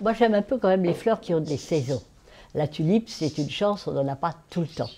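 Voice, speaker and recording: A woman speaks at a moderate pace with lively intonation. Her tone is dark and mellow. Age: 80s+. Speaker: florist. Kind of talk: documentary interview.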